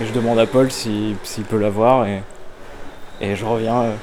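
A man speaks at a medium pitch with fairly even intonation, with audible room echo and noticeable background noise. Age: 20s. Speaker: philosophy student. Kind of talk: casual interview.

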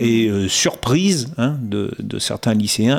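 Lively intonation from a man at medium pitch. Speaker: interviewer. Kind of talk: interview.

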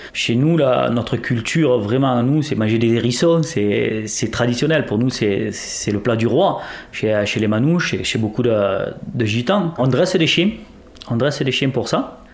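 A man speaks at a fairly slow pace with ordinary pitch variation. Noticeable background noise sits behind him. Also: medium pitch for a man. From southern France (Gard). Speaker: interviewed local resident. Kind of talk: testimony.

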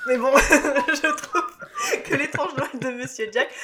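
Over noticeable background noise, a man speaks at a fairly slow pace. His voice is raised and projected. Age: 30s. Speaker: podcast host. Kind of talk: casual chat.

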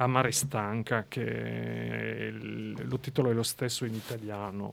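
A man with a French accent is heard on a very clean recording with a silent background. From eastern France. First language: French (speaking Italian). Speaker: writer. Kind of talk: interview. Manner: halting.

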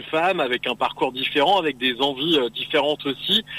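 This man has a plain, everyday voice, pitched fairly high. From Picardy, northern France. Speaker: beauty pageant regional delegate. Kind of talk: radio interview. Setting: phone call from a car.

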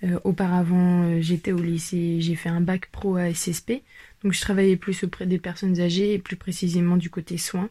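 Very clean recording with a silent background: a woman's somewhat breathy, dark, mellow voice, fairly low in pitch, monotone and flat, at a moderate pace. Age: 20s. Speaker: trainee social educator. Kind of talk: personal self-presentation. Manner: hesitant, with many fillers.

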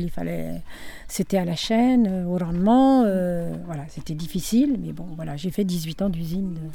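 In a room with audible echo, a woman speaks at a fairly slow pace in a fairly low, dark, mellow voice, with ordinary pitch variation and big swings in loudness. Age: 70s. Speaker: grandmother, retired factory seamstress and childminder. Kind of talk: family interview, life story recollection.

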